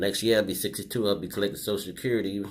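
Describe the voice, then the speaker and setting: This man has an unremarkable speaking voice, pitched fairly low, with fairly even intonation. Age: 60s. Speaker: vlogger. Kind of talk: personal video commentary. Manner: casual with many fillers.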